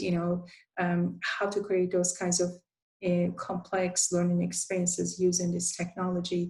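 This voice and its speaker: At a moderate pace, a woman speaks in a somewhat breathy voice of medium pitch in a Turkish accent. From Turkey. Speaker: university instructional design academic. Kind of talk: conference presentation. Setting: virtual presentation, screen sharing. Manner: halting, many filler sounds.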